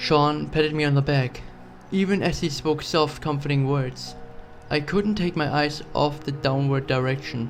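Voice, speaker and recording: A man's fairly high voice at a moderate pace, with fairly even intonation and music in the background. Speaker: horror story narrator. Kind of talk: horror story narration.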